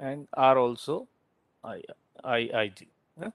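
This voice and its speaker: A man with an Indian accent and ordinary pitch variation, in a dry, close recording with no echo. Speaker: university lecturer. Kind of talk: lecture. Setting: online class. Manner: halting.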